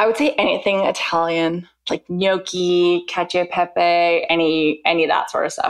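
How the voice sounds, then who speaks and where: A woman with a Canadian accent and an unremarkable speaking voice talks at a moderate pace with hardly any pauses. Her pitch is fairly low, with ordinary variation, and her loudness stays very even. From Vancouver, Canada. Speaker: food blogger. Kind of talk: interview.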